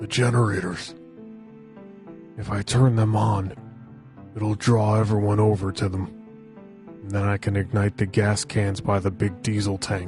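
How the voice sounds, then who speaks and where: Clear music plays in the background as a man speaks in a put-on character voice. His pitch is fairly low and his pace is moderate. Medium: audio drama. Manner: earnest, decisive.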